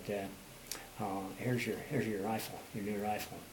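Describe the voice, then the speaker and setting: A man's fairly low, flat, monotone voice amid noticeable background noise and audible room echo. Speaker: war veteran. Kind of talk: oral history interview. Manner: fast; halting, many fillers.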